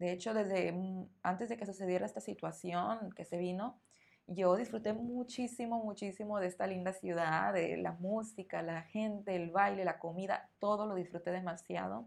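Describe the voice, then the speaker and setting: A woman's medium-pitched voice with a northern Mexican accent, moderate pace and ordinary pitch variation. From northern Mexico. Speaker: Spanish teacher. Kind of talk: interview answers; podcast monologue.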